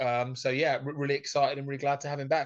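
A man's fairly high, monotone voice with flat intonation over a quiet background. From England. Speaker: former ice hockey player, pundit. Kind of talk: casual chat.

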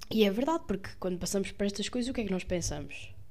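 Speaking very fast with ordinary pitch variation, a woman has a dark, mellow tone, and the room echo is audible. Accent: Lisbon. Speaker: podcaster, medical student. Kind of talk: casual monologue. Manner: hesitant with fillers.

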